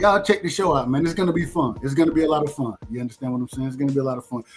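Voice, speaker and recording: Very fast speech from a man with an American accent, fairly high in pitch with ordinary pitch variation, over music in the background. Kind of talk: casual, upbeat, conversational. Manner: enthusiastic, promoting a show.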